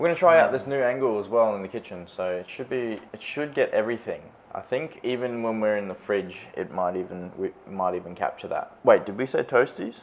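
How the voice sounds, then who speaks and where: Lively intonation runs through a man's fairly quick, nearly pause-free speech, delivered at medium pitch with an Australian accent. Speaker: vlogger. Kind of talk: casual chat. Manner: loud.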